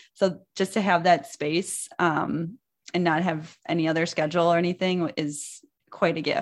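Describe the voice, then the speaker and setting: A woman's fairly low voice at a fairly slow pace, with ordinary pitch variation over a quiet background. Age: 30s. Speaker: dietitian and business founder. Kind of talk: interview.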